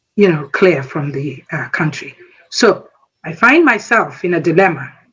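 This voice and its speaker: With a Nigerian accent, the speaker talks at a fairly slow pace. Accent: Nigerian Igbo English. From Nigeria, Igbo. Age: 60s. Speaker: military veteran. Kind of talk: speech.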